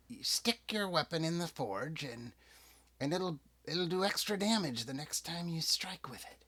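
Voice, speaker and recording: A man puts on a character voice at a high pitch. The recording is very clean, with a silent background. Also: moderate pace. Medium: actual play.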